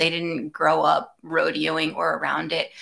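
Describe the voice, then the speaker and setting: At a fairly slow pace, a woman speaks in a bright, sharp tone with vocal fry. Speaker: podcast host. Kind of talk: casual chat.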